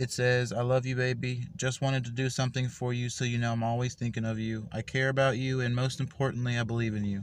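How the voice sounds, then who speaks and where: Speaking very fast with hardly any pauses, a man delivers his words in a monotone, flat intonation against a quiet background. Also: medium pitch for a man. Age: 20s. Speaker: gamer and spiritual vlogger. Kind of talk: casual vlog talk to camera.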